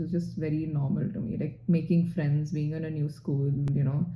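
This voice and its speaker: A woman speaks in an Indian accent, her tone dark and mellow. Her voice is somewhat breathy. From Singapore, then India (Bangalore). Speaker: doctor, residency applicant. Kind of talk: interview. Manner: hesitant, many fillers.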